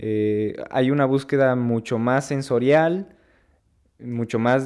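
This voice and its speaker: A man's medium-pitched voice at a fairly slow pace, fairly even in intonation, on a very clean recording with a silent background. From Mexico. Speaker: film podcast co-host. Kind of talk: casual film discussion. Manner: halting, many repetitions.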